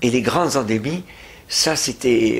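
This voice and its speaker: A man speaks at a very slow pace. His medium-pitched voice has lively intonation. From France. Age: 80s+. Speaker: retired pediatrician and anti-abortion activist. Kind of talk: interview testimony. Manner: halting, many hesitations.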